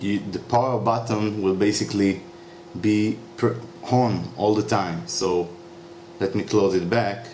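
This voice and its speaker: Noticeable background noise sits under a man's fairly low voice. He speaks at a fairly slow pace with ordinary pitch variation. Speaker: YouTuber demonstrating a repair. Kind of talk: tutorial. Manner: halting, many fillers.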